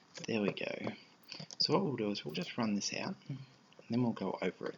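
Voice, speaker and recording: A soft-spoken man over noticeable background noise. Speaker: programming tutorial creator. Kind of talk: tutorial. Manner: casual, with fillers.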